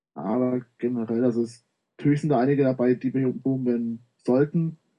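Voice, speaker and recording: A man uses a plain, everyday voice at a medium pitch with fairly even intonation. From Bavaria, Munich. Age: 20s. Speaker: gaming website writer. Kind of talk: casual chat.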